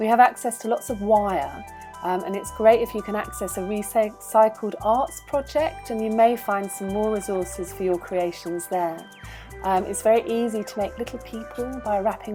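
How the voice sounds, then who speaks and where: With music in the background, a woman speaks in a medium pitch and an upbeat tone. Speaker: puppet maker and craft workshop leader. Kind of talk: children's craft tutorial to camera. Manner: friendly, upbeat.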